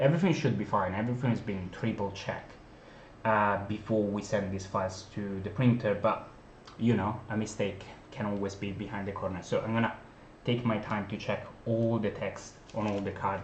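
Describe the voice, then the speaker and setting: Somewhat breathy speech at a fairly quick pace keeps a fairly even intonation amid audible room echo. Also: man, fairly low pitch for a man. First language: not English. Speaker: board game designer and publisher. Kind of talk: unboxing video, casual talk to viewers. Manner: hesitant, many fillers.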